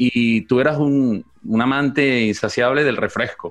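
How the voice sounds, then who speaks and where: The voice belongs to a man with a medium pitch. His pitch varies in an ordinary way. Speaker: podcast co-host. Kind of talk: casual chat.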